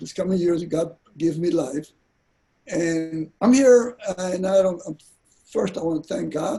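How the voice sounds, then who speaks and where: Ordinary pitch variation runs through this man's high-pitched voice, which has a dark, mellow tone. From South Texas, King Ranch near Kingsville. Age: 80s+. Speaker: rancher and war veteran. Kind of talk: panel talk. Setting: online panel, Facebook Live.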